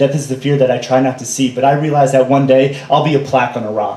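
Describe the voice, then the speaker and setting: Very fast, monotone delivery with flat intonation over noticeable background noise. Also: man. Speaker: spoken word poet. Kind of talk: slam poetry performance. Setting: live stage.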